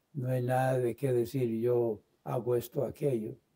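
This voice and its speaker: A man with an English accent, medium pitch, a dark, mellow tone, monotone, flat intonation and a fairly slow pace. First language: English (speaking Spanish). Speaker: Bible teacher. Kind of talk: Bible study lesson. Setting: online livestream. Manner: hesitant, many fillers.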